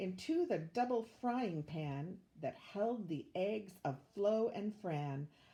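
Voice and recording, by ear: The intonation here is lively. It is reading aloud in a natural voice.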